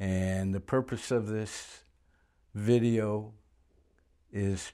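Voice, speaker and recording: A man's medium-pitched voice with ordinary pitch variation and a dark, mellow tone. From born in Germany, moved to US at six. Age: 70s. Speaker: interviewer, Navy veteran. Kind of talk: interview introduction. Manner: halting.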